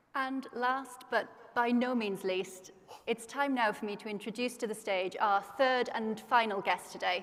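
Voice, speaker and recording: Speaking in a British accent, a woman keeps a fairly even intonation, a fairly slow pace and a fairly high pitch. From Britain. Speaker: conference host. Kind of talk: stage interview. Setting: stage with audience.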